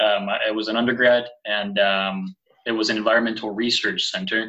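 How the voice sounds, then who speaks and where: The speaker has a bright, sharp tone and moves at a fairly quick pace. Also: man. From California, Mexican immigrant household. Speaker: anthropology doctoral candidate. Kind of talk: panel discussion. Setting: live stream. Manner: halting.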